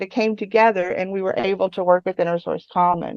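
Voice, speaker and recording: A woman speaks at a medium pitch. The sound is dry and close, with no echo. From West Virginia. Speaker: tech company open source program staff. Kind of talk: conference talk.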